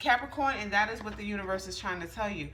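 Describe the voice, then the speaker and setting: A woman talks at a very fast pace with lively intonation. Noticeable background noise and audible room echo surround her. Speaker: tarot reader. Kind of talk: tarot reading. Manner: casual, halting with fillers.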